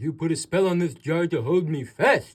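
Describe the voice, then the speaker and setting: Pitching his voice fairly high, a man performs a put-on character voice. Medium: read story.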